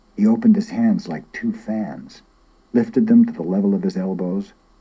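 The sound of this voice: An unforced reading voice is heard throughout.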